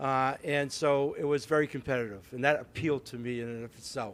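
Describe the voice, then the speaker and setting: A fairly high-pitched man with an East Coast US accent at a fairly quick pace. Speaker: city mayor. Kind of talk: public speech at ceremony. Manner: halting, many fillers and repeats.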